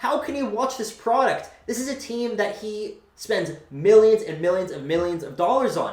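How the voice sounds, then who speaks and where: With audible room echo and noticeable background noise, a man speaks in a high pitch with ordinary pitch variation. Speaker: sports fan commentator. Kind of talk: sports rant. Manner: fast; animated.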